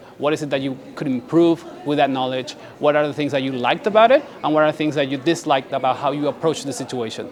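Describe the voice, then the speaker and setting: A man talks at a very fast pace with a fairly high pitch. His pitch varies in an ordinary way over noticeable background noise. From Paraguay. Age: 20s. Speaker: graduate student. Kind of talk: interview tips.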